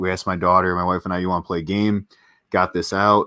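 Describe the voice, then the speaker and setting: Very fast, monotone speech with flat intonation and a bright, sharp tone, dry with no echo against a quiet background. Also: man. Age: 40s. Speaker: board game channel host. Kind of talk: casual chat. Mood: relaxed, friendly. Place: home room.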